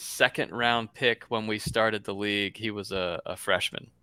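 The voice has a bright, sharp tone, an American accent and flat, monotone intonation. The recording is very clean and dry, close with no echo over a silent background. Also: man. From US South, Florida. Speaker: podcast co-host, site founder. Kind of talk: casual chat.

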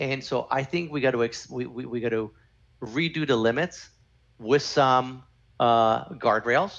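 A man with a Canadian accent and a plain, everyday voice, medium pitch, ordinary pitch variation and a fairly slow pace. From Canada. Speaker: former lawyer, crypto consultant. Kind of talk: podcast interview.

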